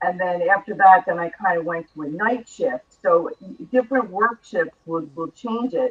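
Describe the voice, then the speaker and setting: A woman with an American accent uses a normal speaking voice at a medium pitch and a moderate pace, with lively intonation. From New York. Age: 60s. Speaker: author, former radio host and reporter. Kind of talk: talk show interview.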